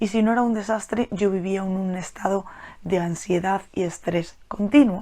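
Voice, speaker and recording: The voice is quiet, with fairly even intonation. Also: woman. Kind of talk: solo podcast monologue. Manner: speaking quietly; hesitant, repeats words.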